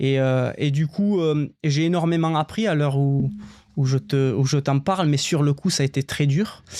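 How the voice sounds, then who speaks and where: His loudness very even, a man speaks with ordinary pitch variation. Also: fairly high pitch for a man, fairly slow pace. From southern France, Albi (Tarn). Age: 30s. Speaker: former marine firefighter, cycling traveller. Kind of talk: podcast interview. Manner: hesitant, many fillers.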